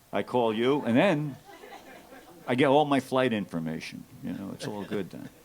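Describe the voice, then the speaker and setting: Against noticeable background noise, a man of medium pitch speaks at a moderate pace with lively intonation and big swings in loudness. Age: 60s. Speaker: rock drummer. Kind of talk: onstage interview.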